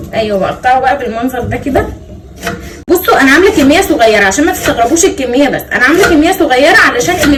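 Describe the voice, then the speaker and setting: A woman's high-pitched voice at a fairly quick pace with lively intonation, audible room echo and noticeable background noise. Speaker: cooking vlogger. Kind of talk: cooking tutorial. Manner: casual, chatty.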